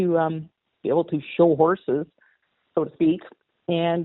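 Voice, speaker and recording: A woman's fairly low-pitched voice. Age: 60s. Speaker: model horse hobbyist. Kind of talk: interview. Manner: halting.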